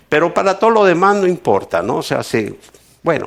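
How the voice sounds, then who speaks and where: A man with a high pitch talks with lively intonation. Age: 70s. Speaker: pastor. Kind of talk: sermon. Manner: halting.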